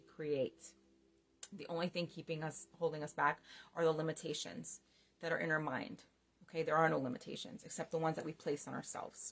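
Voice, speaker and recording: Using vocal fry, a woman with a very deep, low pitch talks at a moderate pace with fairly even intonation. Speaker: spiritual life coach. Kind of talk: coaching talk. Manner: casual, conversational.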